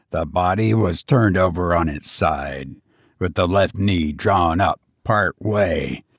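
In a put-on character voice with a slightly husky edge, the speaker goes at a slow pace with ordinary pitch variation on a very clean recording with a silent background. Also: man, low pitch for a man.

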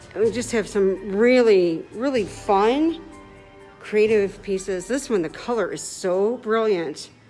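A woman at a very slow pace, with ordinary pitch variation and faint music in the background. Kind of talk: casual live-stream tour commentary. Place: hall. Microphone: phone near.

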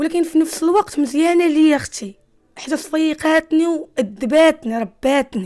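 Against a quiet background, a woman with a high pitch and a dark, mellow tone speaks at a fairly slow pace with lively intonation. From Morocco, Casablanca. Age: 20s. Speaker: former street youth; interviewee. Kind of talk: testimony. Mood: earnest, confessional. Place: home room. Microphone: handheld.

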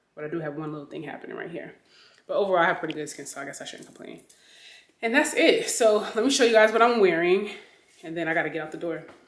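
Audible room echo surrounds a woman's voice. She talks very fast in a fairly low pitch. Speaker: fashion vlogger. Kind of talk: casual vlog chat. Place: home room. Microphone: phone near.

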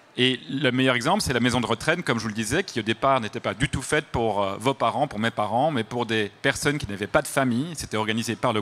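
A man's fast, medium-pitched voice with a slight Belgian accent, a fairly bright tone, ordinary pitch variation and few pauses

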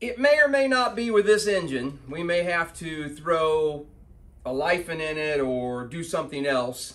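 Very wide pitch swings in a bright, sharp tone. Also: man. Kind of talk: casual workshop vlog chat. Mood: amused, exasperated. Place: garage. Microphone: camera far.

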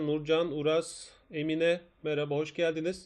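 A man talks against a quiet background. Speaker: math teacher. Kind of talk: live online lesson. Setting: live stream.

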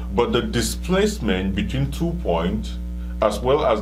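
Music can be heard behind the voice. The man talks at a fairly slow pace. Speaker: physics teacher. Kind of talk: lecture. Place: studio.

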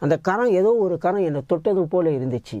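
A man with a dark, mellow tone and lively intonation is heard in a dry sound with no echo against a quiet background. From Malaysia. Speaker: evangelist. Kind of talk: testimony. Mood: earnest, emotional storytelling. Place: studio. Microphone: lapel.

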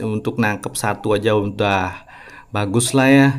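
Very slow speech from a man is heard over noticeable background noise. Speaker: gaming YouTuber. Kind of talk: gameplay commentary. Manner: casual, chatty.

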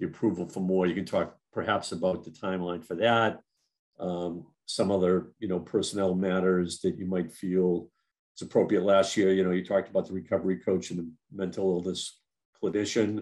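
Against a quiet background, a man with a very deep, low pitch speaks at a fairly quick pace using fairly even intonation. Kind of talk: meeting discussion, opening questions. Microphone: video call.

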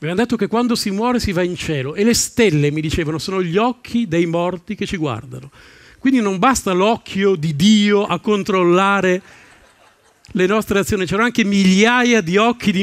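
Against a quiet background, a man talks in a high pitch with ordinary pitch variation. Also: dry sound with no echo. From northern Italy, Salò on Lake Garda (Lombardy); Lombardy, Italy. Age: 50s. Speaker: stand-up comedian. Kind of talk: stand-up. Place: stage. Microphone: headset.

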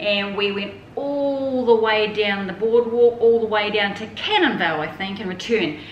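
A woman speaks amid light background noise, her voice carrying an audible room echo. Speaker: traveller reviewing her holiday. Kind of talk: casual vlog chat. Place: home room. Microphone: camera far.

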